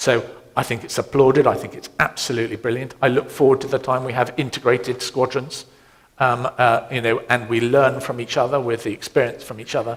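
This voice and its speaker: Monotone and flat, a man talks with a British accent. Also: medium pitch for a man, fairly quick pace. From Britain. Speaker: navy admiral. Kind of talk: panel Q&A. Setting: conference seminar with audience.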